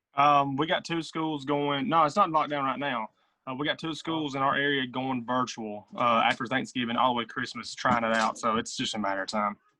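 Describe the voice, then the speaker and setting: A man with an American accent talks at a fairly quick pace, his pitch medium with ordinary variation. He has a plain, everyday voice. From south central Tennessee, US South. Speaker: podcast guest, social media creator. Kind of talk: casual chat.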